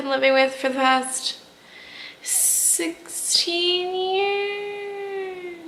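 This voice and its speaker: Very slowly, a woman speaks in a raised, projected voice amid noticeable background noise and audible room echo. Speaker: vlogger sharing personal health story. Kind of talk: personal vlog. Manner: casual, repetitive with fillers.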